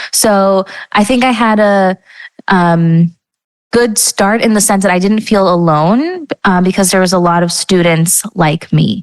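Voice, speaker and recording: A woman's medium-pitched, fairly slow speech with ordinary pitch variation and very even loudness, dry and close with no echo. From Los Angeles, US, Mexican-American family. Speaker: guest, business cofounder. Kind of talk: interview. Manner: casual, many fillers.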